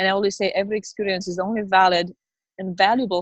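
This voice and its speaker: Very fast and in a flat monotone, a woman talks in a dry, close recording with no echo. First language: not English. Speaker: network marketing business owner. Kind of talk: interview. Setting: video call, outdoors in the rain. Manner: halting.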